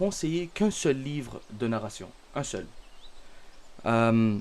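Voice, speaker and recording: In a Canadian French accent, a man speaks very slowly with lively intonation. His pitch is medium. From Canada. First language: Arabic (speaking French). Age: 20s. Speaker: religious content creator. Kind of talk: self-introduction monologue. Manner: halting, many fillers.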